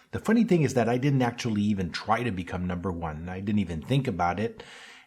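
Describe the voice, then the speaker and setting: A man speaks with a slight French accent. His delivery is very fast. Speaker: automotive marketing consultant. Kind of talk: podcast monologue.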